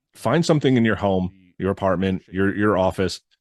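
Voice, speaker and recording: Over a quiet background, a man with an American accent talks in a fairly low pitch with lively intonation. He has an unremarkable speaking voice, and the sound is dry and close with no echo. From Connecticut, Litchfield County. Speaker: podcast host. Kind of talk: reading witness reports with commentary. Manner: casual, with filler words.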